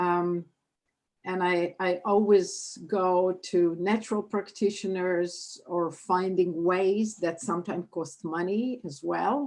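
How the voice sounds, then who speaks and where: Over a quiet background, a woman talks at a very slow pace, her medium pitch carried by fairly even intonation. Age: 70s. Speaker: town hall participant asking a question. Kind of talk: public question at online town hall.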